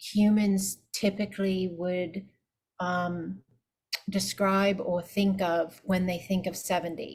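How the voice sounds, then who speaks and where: A somewhat breathy woman at medium pitch, speaking at a very slow pace. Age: 50s. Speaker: spiritual teacher and energy healer. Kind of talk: casual chat.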